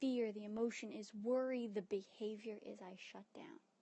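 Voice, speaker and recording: A woman's voice is fairly high and somewhat breathy. Her intonation stays fairly even. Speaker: therapist and coach. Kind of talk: live-stream motivational talk. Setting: live video stream. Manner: casual, chatty.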